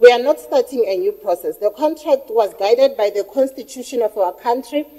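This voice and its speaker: A loud, high-pitched woman's voice with lively intonation and a fairly quick pace. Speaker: researcher. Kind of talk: workshop presentation.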